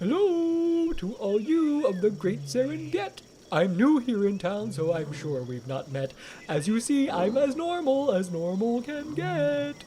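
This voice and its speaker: Over clear background noise, a put-on character voice at a middle pitch moves slowly with very wide pitch swings. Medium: read story.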